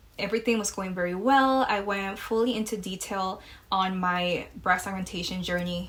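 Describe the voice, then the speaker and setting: At a moderate pace, a woman with a slight Mexican accent speaks at medium pitch with ordinary pitch variation. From Mexico. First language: Spanish. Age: 20s. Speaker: podcast host. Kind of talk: casual chat. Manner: casual, many fillers.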